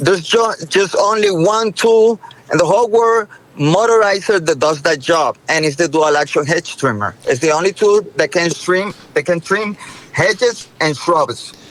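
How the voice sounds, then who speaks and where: With a Spanish accent, a high-pitched man keeps his loudness very even against noticeable background noise. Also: lively intonation, moderate pace. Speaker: inventor, entrepreneur. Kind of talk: interview, product story.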